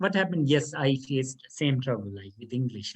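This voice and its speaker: A somewhat breathy voice with a Pakistani accent, lively intonation and a fairly quick pace. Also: man. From Pakistan, South Punjab. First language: Saraiki. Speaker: law lecturer. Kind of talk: interview. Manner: halting.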